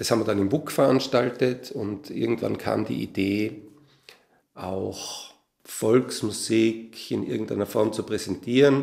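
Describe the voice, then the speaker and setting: A man with a medium pitch talks with vocal fry. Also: ordinary pitch variation. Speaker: composer and musician. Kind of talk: interview.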